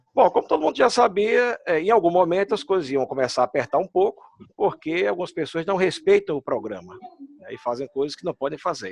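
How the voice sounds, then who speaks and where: A man with a Pernambuco accent talks very fast at a high pitch, with lively intonation. The sound is dry and close, with no echo. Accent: Pernambuco Brazilian Portuguese. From Brazil, Pernambuco. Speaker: immigration consultant. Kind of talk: casual chat. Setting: video call.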